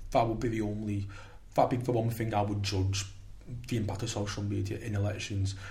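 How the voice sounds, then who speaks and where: Amid audible room echo, a man speaks quite quickly with fairly low pitch and monotone, flat intonation. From St Helens, Merseyside, England. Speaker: politics undergraduate student. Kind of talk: casual panel discussion. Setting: studio.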